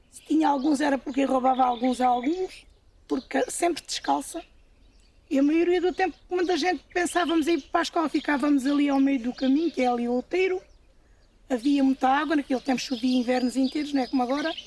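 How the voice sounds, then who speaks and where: The woman's voice is high. Her pitch rises and falls in an ordinary way. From Portugal, Alentejo (Évora). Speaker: farm worker. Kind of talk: testimony.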